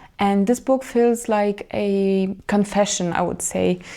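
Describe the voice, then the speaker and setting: A woman with a Moldovan accent speaks at a medium pitch with a dark, mellow tone. Her pace is fairly slow and her intonation fairly even. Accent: Romanian (Moldovan) accent in English. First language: Romanian. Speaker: book vlogger. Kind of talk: book review monologue. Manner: casual, hesitant with fillers.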